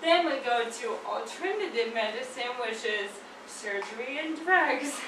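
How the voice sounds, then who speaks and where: A woman's high-pitched voice at a fairly slow pace with ordinary pitch variation, amid audible room echo and noticeable background noise. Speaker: naturopathic doctor. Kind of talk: presentation. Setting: seated, speaking to a group. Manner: slightly slurred.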